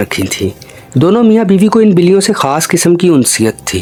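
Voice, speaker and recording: Music can be heard behind the voice. The speaker's intonation is lively. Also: man. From Pakistan. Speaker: actor; horror storyteller. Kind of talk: horror story narration.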